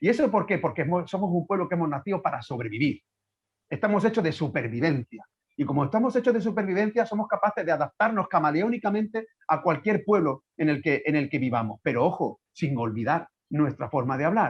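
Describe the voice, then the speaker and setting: With an Andalusian accent, a man talks at a fairly quick pace in a high pitch. His pitch swings very widely while his loudness stays very even. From Andalusia, Guadalquivir valley. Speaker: professor and writer. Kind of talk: virtual lecture Q&A. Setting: video call.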